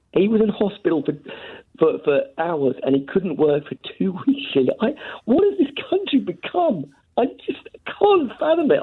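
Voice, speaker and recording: A put-on character voice, fairly high and strained. The pace is moderate. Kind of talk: spontaneous, halting, repeated words. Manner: disgusted, distressed, voice strained.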